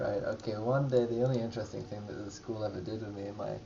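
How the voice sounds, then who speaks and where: Against noticeable background noise, a man speaks very fast at a fairly low pitch with fairly even intonation. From England. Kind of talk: comedic life-story narration over drawings. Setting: poor-quality microphone recording. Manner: casual, rambling, hesitant.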